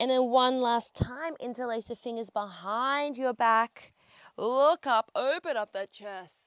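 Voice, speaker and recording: In an upbeat tone, a woman with an Australian accent speaks at a fairly slow pace and high pitch with ordinary pitch variation, in a very clean recording with a silent background and a dry, close sound with no echo. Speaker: pilates instructor. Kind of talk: guided workout instruction. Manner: upbeat, encouraging.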